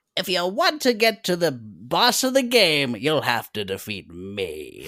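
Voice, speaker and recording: In a put-on character voice, this speaker talks at a middle pitch and a fairly slow pace. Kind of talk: early-nineties game villain voice. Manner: cartoonish, cheesy villain.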